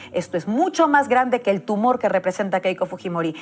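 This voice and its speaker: Speaking at a very fast pace, a woman uses lively intonation at a medium pitch. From Peru. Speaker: political commentator. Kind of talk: political speech. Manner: impassioned.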